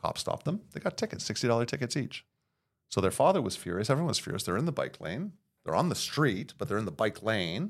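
With a Montreal accent, a man at medium pitch talks at a very fast pace with very wide pitch swings, on a very clean recording with a silent background. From Montreal, Quebec (Verdun). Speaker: city councillor. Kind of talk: casual chat.

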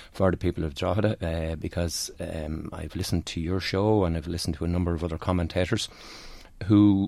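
Speaking at a fairly quick pace, a man with an Irish accent has a very deep, low pitch, a dark, mellow tone and fairly even intonation. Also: very clean recording, silent background. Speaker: senior police officer. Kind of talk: radio interview. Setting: studio. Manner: halting.

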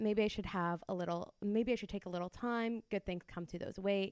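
A woman with an unremarkable speaking voice talks at a fairly quick pace and a medium pitch, with fairly even intonation. The sound is dry and close, with no echo. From Windsor, Ontario. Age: 30s. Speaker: podcast co-host. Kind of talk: interview. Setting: guest's office.

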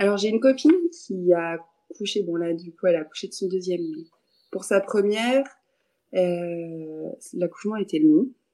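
Long, frequent pauses break up a voice with a dark, mellow tone. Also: woman, medium pitch for a woman, ordinary pitch variation, fairly slow pace. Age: 20s. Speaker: yoga teacher. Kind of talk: casual interview chat. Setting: video call.

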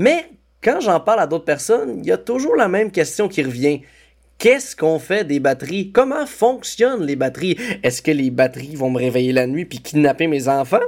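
A man with a fairly high pitch and very wide pitch swings speaks at a moderate pace in a very clean recording with a silent background. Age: 20s. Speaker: comedian and podcast co-host. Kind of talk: scripted podcast narration.

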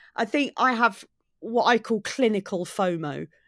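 A woman speaks in a southern English accent with lively intonation. The recording is very clean, with a silent background. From southeast England, Maidstone in Kent. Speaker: comedian. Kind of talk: casual interview.

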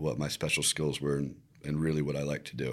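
The recording is very clean, with a silent background. A man speaks in a Virginia accent. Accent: American (Virginia). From Virginia Beach, Virginia, US. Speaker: videographer and content creator. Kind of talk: interview.

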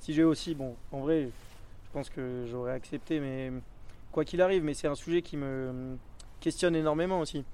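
A man's fairly high voice with a dark, mellow tone and fairly even intonation. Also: moderate pace. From French Alps (Hautes-Alpes). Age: 20s. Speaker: BASE jumper and highline athlete. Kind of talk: casual interview and vlog commentary.

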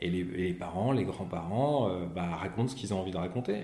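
With a very deep, low pitch and a dark, mellow tone, a somewhat breathy man speaks with ordinary pitch variation amid audible room echo. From Paris region, France. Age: 40s. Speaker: comic book author. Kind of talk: interview. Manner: halting, repeats words.

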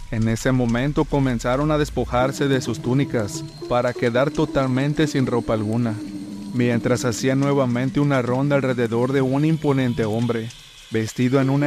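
Over music in the background, a man talks at a moderate pace with a medium pitch and fairly even intonation. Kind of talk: ghost story telling, first-person horror tale.

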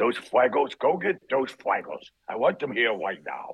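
A man puts on a character voice, talking at a moderate pace with a medium pitch. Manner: demanding, bossy.

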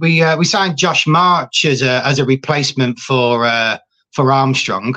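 A man with a Scouse accent speaks in a bright, sharp tone against a quiet background. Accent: Scouse, Liverpool. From Liverpool, England. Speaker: football fan. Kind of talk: casual chat.

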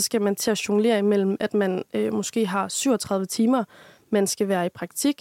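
A woman speaks at a moderate pace with a medium pitch in monotone, flat intonation. The sound is dry and close with no echo. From Denmark, Aarhus. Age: 20s. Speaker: university student. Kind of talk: casual interview chat.

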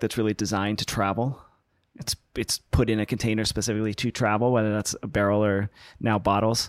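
A man with an American accent talks at a fairly quick pace in a normal speaking voice, fairly low in pitch, with a dry, close sound with no echo. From US West Coast (Los Angeles). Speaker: winemaker. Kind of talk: interview.

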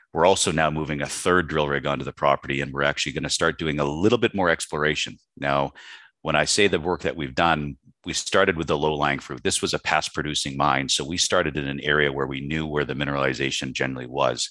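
With a Canadian accent, a man with a very deep, low voice speaks at a very fast pace, his bright, sharp tone edged with vocal fry, over a quiet background. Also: fairly even intonation. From western Canada. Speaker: mining company executive. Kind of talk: interview.

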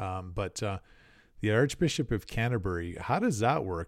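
A man with a fairly low pitch and an ordinary speaking voice at a moderate pace, in a very clean recording with a silent background. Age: 40s. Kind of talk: casual roundtable chat.

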